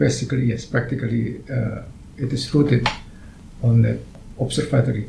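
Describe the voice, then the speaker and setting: Speaking at a fairly quick pace with an Indonesian accent, this voice keeps a fairly even intonation, breaks often into long pauses, and carries audible room echo. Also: man, medium pitch for a man. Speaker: astronomer. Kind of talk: interview. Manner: halting.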